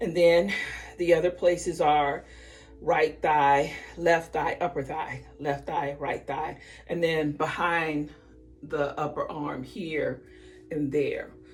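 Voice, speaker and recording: A woman's very deep, low voice in a flat monotone, very slow with long, frequent pauses, with music in the background. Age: 60s. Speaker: vlogger sharing weight loss journey. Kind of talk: casual vlog and tutorial. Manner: casual, conversational with fillers.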